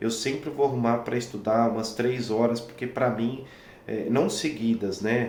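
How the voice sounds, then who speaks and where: A man speaks at a medium pitch. Room echo is audible. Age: 30s. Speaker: violinist and music teacher. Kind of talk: talking-head tutorial. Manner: hesitant, many fillers.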